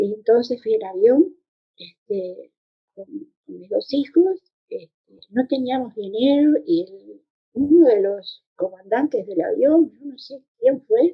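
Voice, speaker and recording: A high-pitched woman speaks at a very slow pace, her pitch swinging very widely and her loudness shifting a great deal. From Uruguay. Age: 80s+. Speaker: former political exile. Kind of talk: testimony. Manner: halting.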